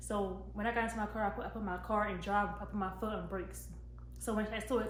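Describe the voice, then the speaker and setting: A woman is heard with audible room echo and noticeable background noise. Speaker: YouTuber. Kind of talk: storytime vlog. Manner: fast.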